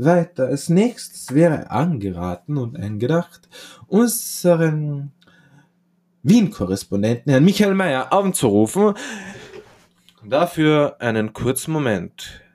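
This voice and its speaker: A man speaks at a very slow pace in a fairly high pitch, his pitch swinging very widely. Long, frequent pauses break up his speech. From Austria. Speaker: podcast host, comedian. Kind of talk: satirical comedy monologue.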